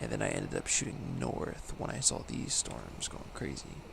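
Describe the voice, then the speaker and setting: A man talks at a moderate speed, and audible room echo can be heard around him. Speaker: video game streamer. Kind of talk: live gameplay commentary. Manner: casual, rambling.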